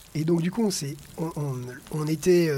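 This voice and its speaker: With noticeable background noise present, a man talks in a high pitch. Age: 40s. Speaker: PE teacher and adventure racer. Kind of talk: personal race narrative. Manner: animated.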